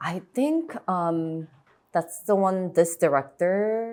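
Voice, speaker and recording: A woman's voice with lively intonation at a very slow pace. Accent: slight Korean. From Chicago suburbs, US Midwest. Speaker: actress. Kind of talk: interview conversation. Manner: casual, many fillers like 'like'.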